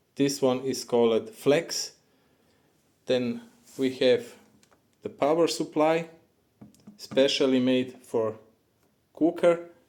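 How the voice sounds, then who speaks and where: A man with a non-native accent and a fairly high pitch speaks very slowly, with ordinary pitch variation and long, frequent pauses. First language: not English. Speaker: plumber. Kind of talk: tutorial. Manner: halting.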